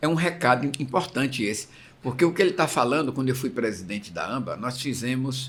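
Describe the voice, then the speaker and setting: It is an ordinary speaking voice: a man at medium pitch, going at a fairly quick pace with ordinary pitch variation. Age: 60s. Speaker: interviewer, former masters swimming association president. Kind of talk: interview.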